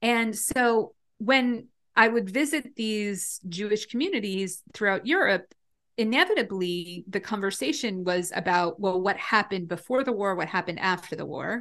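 A woman with an American accent uses an ordinary speaking voice at a medium pitch, with ordinary pitch variation. She talks at a moderate pace against a quiet background. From US Northeast, northwest New Jersey. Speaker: rabbi. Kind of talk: casual interview.

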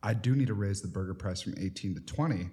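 Here a man speaks very fast, fairly low in pitch, with a dark, mellow tone that is somewhat breathy. The recording is very clean, with a silent background. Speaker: podcast host. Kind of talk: casual conversational podcast.

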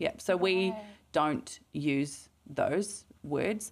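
A woman with a New Zealand accent, medium in pitch, with very wide pitch swings. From New Zealand, Mount Maunganui. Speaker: clinical psychologist. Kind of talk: interview.

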